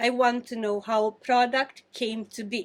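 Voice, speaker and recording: With a non-native accent, a woman speaks at a fairly slow pace and a fairly high pitch. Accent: foreign. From Romania. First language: Romanian. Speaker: pastry chef. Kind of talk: interview. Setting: in a bakery.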